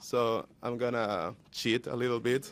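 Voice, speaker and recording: A man talks with a Spanish accent. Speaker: youth activist. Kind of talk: speech at a panel.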